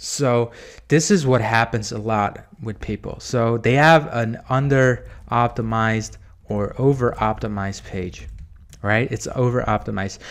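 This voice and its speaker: A man with a normal speaking voice talks at a medium pitch and a fairly slow pace, with ordinary pitch variation. The recording is very clean and the background silent. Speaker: SEO marketer, video host. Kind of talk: screen-share tutorial. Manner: casual, with fillers.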